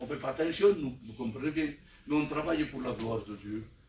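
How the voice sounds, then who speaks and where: Against noticeable background noise and audible room echo, a man speaks fairly quickly at a fairly high pitch. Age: 60s. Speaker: church elder preacher. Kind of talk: sermon.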